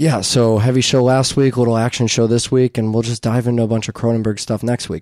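A man talks at a very fast pace with hardly any pauses, medium in pitch and monotone, flat in intonation. The recording is very clean, with a silent background. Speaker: podcast host. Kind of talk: casual chat. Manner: profane, casual.

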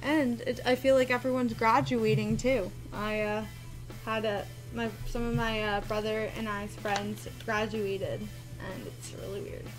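A woman's voice with clear music in the background. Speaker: card break host. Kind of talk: casual live stream chat. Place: office.

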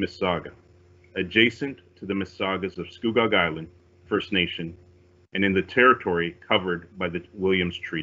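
The man's pitch is fairly low, with ordinary variation. He talks at a moderate pace. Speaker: police officer. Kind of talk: formal opening remarks. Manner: formal. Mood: calm, formal, respectful. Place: home room. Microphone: video call.

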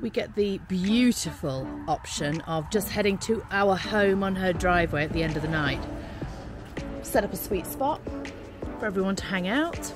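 Over clear music in the background, a woman speaks at a moderate pace with ordinary pitch variation, the sound dry with no echo. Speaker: travel vlogger. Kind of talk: casual vlog chat. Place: street. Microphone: phone near.

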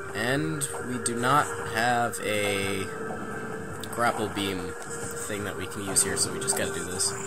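Music can be heard behind the speaker. The man talks very slowly. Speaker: gameplay commentator. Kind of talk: casual let's play commentary.

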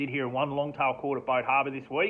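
At a fairly quick pace, a man speaks at a medium pitch with little pitch movement.

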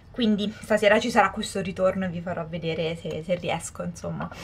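Light background noise can be heard. A woman talks at a fairly quick pace. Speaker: vlogger. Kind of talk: casual vlog chat. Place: home room. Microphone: camera far.

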